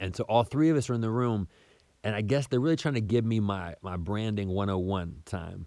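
An ordinary speaking voice belongs to a man with an American accent who uses ordinary pitch variation. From US South. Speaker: podcast host. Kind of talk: casual monologue.

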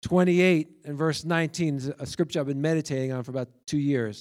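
A man with a fairly high pitch uses a normal speaking voice at a moderate pace with ordinary pitch variation. The recording is very clean, with a silent background. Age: 50s. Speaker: preacher. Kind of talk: sermon.

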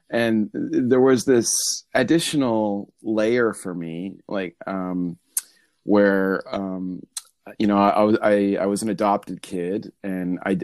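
In a very clean recording with a silent background, a man speaks very slowly in a fairly low voice. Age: 40s. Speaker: football supporters group member. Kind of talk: casual chat. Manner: hesitant, many fillers.

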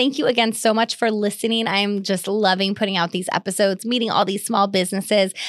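Hardly pausing, the speaker races along at a very fast pace with an American accent and fairly even intonation over noticeable background noise. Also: woman. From Sonoma County, California. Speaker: podcast host and realtor. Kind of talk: casual interview chat.

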